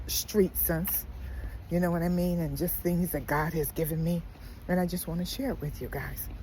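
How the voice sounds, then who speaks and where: Vocal fry runs through a woman's fairly low, dark, mellow voice. She keeps a moderate pace and fairly even intonation. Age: 60s. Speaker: lifestyle vlogger. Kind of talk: casual vlog monologue. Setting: outdoors, walking. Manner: conversational, rambling with fillers.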